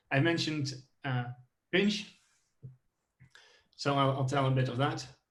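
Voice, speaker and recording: Audible room echo accompanies speech delivered at a fairly slow pace. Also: man. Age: 20s. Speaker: software engineer. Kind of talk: tech talk. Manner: halting, many fillers.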